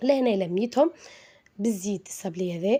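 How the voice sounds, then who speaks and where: A woman speaks with a Tunisian accent. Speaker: cooking channel host. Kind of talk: cooking tutorial. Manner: halting, many fillers.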